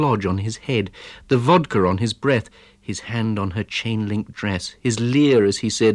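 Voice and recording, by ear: A natural voice reading aloud, with ordinary pitch variation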